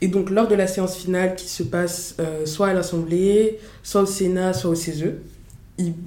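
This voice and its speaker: The tone is dark and mellow, delivered in a flat monotone. Some room echo can be heard. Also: woman. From Paris eastern suburbs (Montreuil, 93). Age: 20s. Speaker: student, association public relations director. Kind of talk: casual interview.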